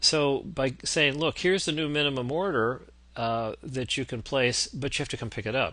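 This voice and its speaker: Here a man speaks with a bright, sharp tone. His pitch variation is ordinary. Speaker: business consultant. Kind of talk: lecture. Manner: fast.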